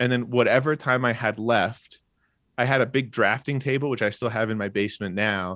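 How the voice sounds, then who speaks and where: A man speaks at a moderate pace and medium pitch with ordinary pitch variation, in a normal speaking voice. The sound is dry and close with no echo, over a quiet background. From Australia (rural), moved to US at twelve. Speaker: comedian and illustrator. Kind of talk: casual chat.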